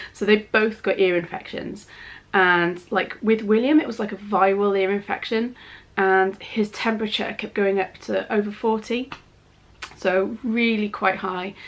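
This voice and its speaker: Her medium-pitched voice moves at a fairly slow pace, the woman keeping her intonation fairly even. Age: 30s. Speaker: parenting vlogger. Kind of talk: casual vlog update.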